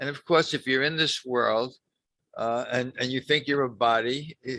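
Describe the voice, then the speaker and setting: Bright and sharp in tone, this man's medium-pitched voice moves at a fairly slow pace. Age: 80s+. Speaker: spiritual group facilitator. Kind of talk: casual spiritual talk to a group. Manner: halting, many repetitions and fillers.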